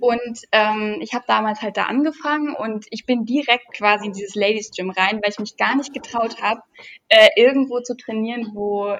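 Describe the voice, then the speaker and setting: At a moderate pace, a woman with a fairly high pitch and ordinary pitch variation speaks in a plain, everyday voice. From near Düsseldorf, Germany. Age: 20s. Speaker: fitness YouTuber. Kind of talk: casual chat.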